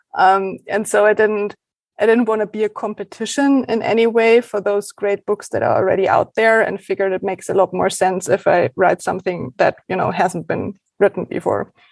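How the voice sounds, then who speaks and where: A woman's voice in a German accent with ordinary pitch variation, dry and close with no echo. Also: medium pitch for a woman, fairly quick pace. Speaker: documentary filmmaker. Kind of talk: casual interview.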